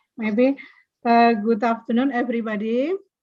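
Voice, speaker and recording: Monotone, flat intonation marks a woman's fairly high-pitched speech. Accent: Indonesian. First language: Indonesian. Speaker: vocational school teacher. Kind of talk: presentation. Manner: halting.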